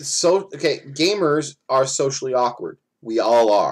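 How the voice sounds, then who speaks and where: The recording is very clean with a silent background. A man with an ordinary speaking voice talks at a fairly slow pace, medium in pitch, with lively intonation. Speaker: livestream co-host. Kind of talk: casual chat.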